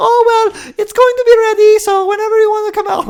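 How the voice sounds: A shrill, put-on character voice at an extremely high pitch, with a Romanian accent, at a fairly quick pace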